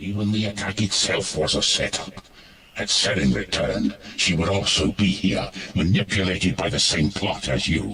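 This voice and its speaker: Here a man uses a put-on character voice. It sits fairly low in pitch and moves at a moderate pace. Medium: machinima. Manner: grave, serious.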